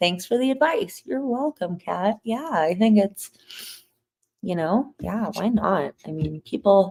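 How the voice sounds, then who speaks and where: Speaking very slowly, a woman with a medium pitch and a somewhat breathy voice uses lively intonation. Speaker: podcast host cooking on livestream. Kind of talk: casual livestream chat while cooking. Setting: live stream. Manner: mumbling.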